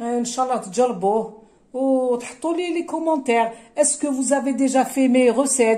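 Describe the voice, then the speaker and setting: A woman speaks at a fairly slow pace, high in pitch, with a dark, mellow tone. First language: Kabyle (speaking French). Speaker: cooking vlogger. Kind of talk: cooking tutorial. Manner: hesitant, many fillers.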